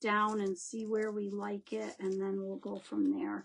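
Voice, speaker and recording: Speaking fairly slowly in an unremarkable speaking voice, a woman talks at a fairly high pitch with ordinary pitch variation. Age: 60s. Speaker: craft instructor. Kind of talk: live craft tutorial with viewer chat. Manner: chatty, warm.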